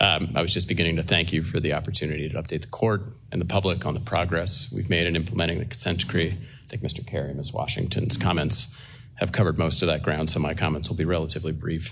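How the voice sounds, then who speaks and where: A man talks at a very fast pace in a very deep, low voice with ordinary pitch variation. Room echo can be heard. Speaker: government attorney. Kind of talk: court hearing statement. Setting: courtroom at lectern. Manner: soft-spoken.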